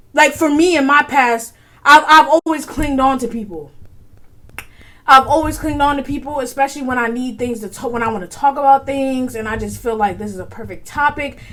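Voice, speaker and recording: The voice is raised and projected, with an animated tone and big swings in loudness. The pace is moderate with long, frequent pauses and ordinary pitch variation. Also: woman. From US, from an immigrant family. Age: 20s. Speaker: podcast host. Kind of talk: casual solo podcast talk.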